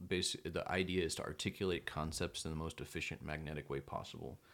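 The speech comes at a very fast pace, with vocal fry and fairly even intonation. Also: man. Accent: American. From Texas, Belton. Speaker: photographer and author. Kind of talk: casual chat.

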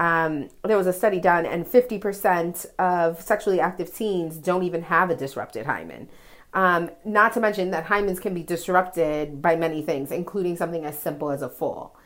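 A woman with an American accent speaks in a normal speaking voice, fairly low-pitched, with ordinary pitch variation. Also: moderate pace, very clean recording, silent background. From New York, the Bronx. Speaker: listener sending voice message. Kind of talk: voice message.

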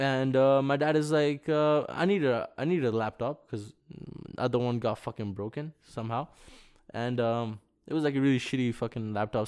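A man talks at a moderate pace in an unremarkable speaking voice, pitched in the medium range. The background is quiet. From village abroad, moved to Canada as early teen. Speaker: rapper. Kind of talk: casual chat. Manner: casual slangy.

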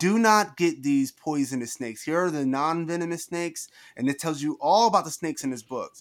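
A plain, everyday voice from a man with an American accent, fairly high in pitch with ordinary variation, at a fairly quick pace in a very clean recording with a silent background. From New Jersey. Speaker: author and entrepreneur, former teacher. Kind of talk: interview.

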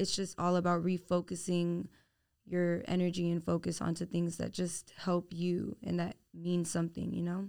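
In a very clean recording with a silent background, a woman speaks with an American accent at a moderate pace. Her pitch is fairly low and her intonation monotone and flat. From Houston, Texas. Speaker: podcast host and nursing student. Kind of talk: casual chat.

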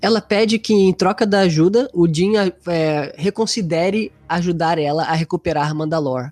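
Delivered at a moderate pace, the talking has hardly any pauses. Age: 30s. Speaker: podcast host. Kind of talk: casual chat. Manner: animated.

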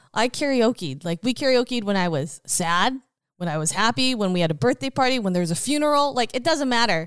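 A woman with a Canadian accent speaks at a fairly high pitch, her voice swinging very widely in pitch. The recording is very clean and dry, close with no echo, over a silent background. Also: fairly quick pace. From Richmond, British Columbia, Canada. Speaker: real estate agent and former singer-actress. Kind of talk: casual interview. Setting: host's living room.

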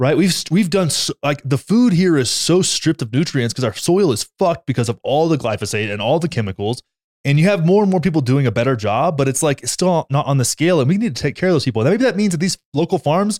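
On a very clean recording with a silent background and a dry, close sound with no echo, a man speaks loudly at a very fast pace in an animated tone, his fairly high pitch making very wide swings. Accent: American. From Texas. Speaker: podcast co-host. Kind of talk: casual chat.

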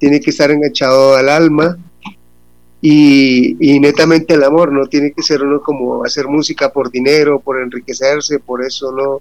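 A man's fairly high, unremarkable speaking voice at a fairly slow pace. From Colombia, Bucaramanga. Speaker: band vocalist. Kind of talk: radio interview.

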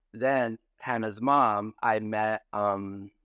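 A man speaks at a fairly low pitch with fairly even intonation. The sound is dry and close with no echo, over a quiet background. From Baja California, Mexico. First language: Spanish. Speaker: reality TV personality. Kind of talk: casual interview.

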